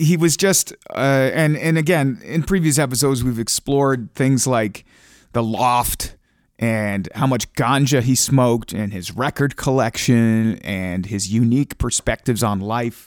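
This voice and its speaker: With a Canadian accent, a man speaks in an unremarkable speaking voice of medium pitch, at a fairly slow pace with ordinary pitch variation, in a very clean recording with a silent background. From Ontario, Canada. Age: 30s. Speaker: radio broadcaster and stand-up comedian. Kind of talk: casual chat. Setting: home studio.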